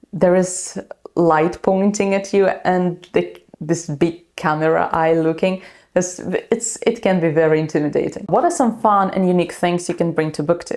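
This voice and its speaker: A woman talks with a Ukrainian accent at a moderate pace, her intonation fairly even. The recording is very clean, with a silent background. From Ukraine. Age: 20s. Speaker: booktuber. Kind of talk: vlog introduction. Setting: alone in a dark room filming. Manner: halting, with fillers.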